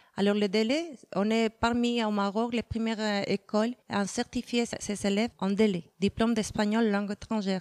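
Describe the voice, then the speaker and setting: Recorded very cleanly against a silent background, with a dry, close sound and no echo, a woman with a Spanish accent speaks at a moderate pace and a fairly high pitch. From Mexico. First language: Spanish (speaking French). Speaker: Spanish teacher and exam organizer. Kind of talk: interview. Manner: hesitant, many fillers.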